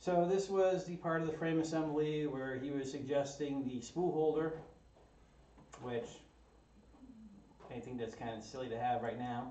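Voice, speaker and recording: Amid audible room echo and noticeable background noise, a man speaks at a fairly high pitch with ordinary pitch variation and long, frequent pauses. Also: moderate pace. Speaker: 3D printer kit builder, maker YouTuber. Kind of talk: live-streamed build tutorial. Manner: casual, hesitant with many fillers.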